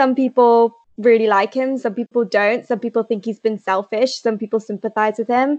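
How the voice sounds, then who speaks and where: Delivered at a moderate pace with hardly any pauses, the speech comes in an English Midlands accent. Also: woman, fairly high pitch for a woman, fairly even intonation. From England, Leicester. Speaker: novelist. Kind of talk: interview.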